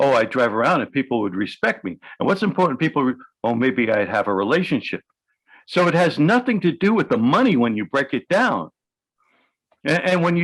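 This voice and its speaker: Speaking at a fairly quick pace with a New York accent, a man swings very widely in pitch against a quiet background. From New York City. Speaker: hypnotherapist. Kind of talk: interview.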